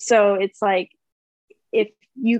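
In a dry, close recording with no echo, a woman talks in an unremarkable speaking voice at a medium pitch, with fairly even intonation. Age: 20s. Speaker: yacht crew member, reality TV cast member. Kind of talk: casual interview chat.

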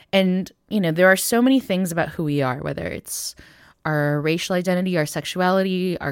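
A woman with an unremarkable speaking voice talks at a fairly quick pace in a fairly low pitch. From United States, Taiwanese American family. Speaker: musician, filmmaker and theologian. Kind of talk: interview conversation.

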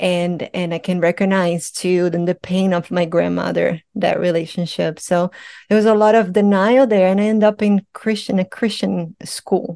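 A woman's medium-pitched voice in a Portuguese accent, dark and mellow in tone, at a moderate pace with fairly even intonation and hardly any pauses, dry and close with no echo, over a quiet background. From Brazil. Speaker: psychedelic integration coach. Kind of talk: interview.

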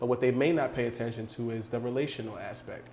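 With an American accent, a man talks in an unremarkable speaking voice at a medium pitch and a fairly quick pace. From New York City. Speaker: behavioral psychology consultant. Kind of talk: casual chat.

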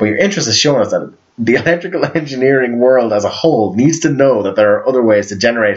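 A man talks at a fairly quick pace with lively intonation. Noticeable background noise sits behind him. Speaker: podcast host. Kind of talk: casual chat. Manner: animated.

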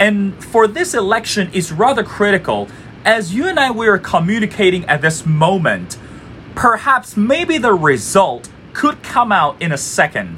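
A man with a Chinese accent speaks in a raised, projected voice at a high pitch and fairly slow pace. His intonation is lively, and background noise is noticeable. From China, Beijing. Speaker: podcast host. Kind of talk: interview.

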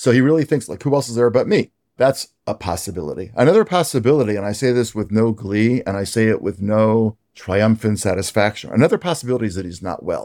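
A man talks very fast with an American accent and a dark, mellow tone. The recording is very clean and dry, close with no echo, over a silent background. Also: medium pitch for a man. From US. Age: 60s. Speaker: rabbi and author. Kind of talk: interview.

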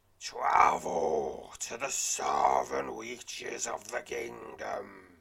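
Using a put-on character voice, a man speaks in a raspy tone at a very slow pace. He hardly pauses at all. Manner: secretive, giving a quest.

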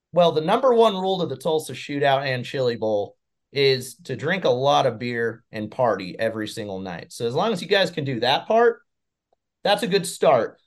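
On a very clean recording with a silent background, a man's voice swings very widely in pitch. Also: moderate pace. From New Mexico. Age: 20s. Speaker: racecar driver and motorsports broadcaster. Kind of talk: casual interview chat.

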